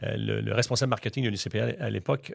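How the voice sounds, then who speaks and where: With a Quebec accent, the voice carries vocal fry and ordinary pitch variation. The recording is very clean, with a silent background. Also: man. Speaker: master of ceremonies. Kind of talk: interview. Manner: animated.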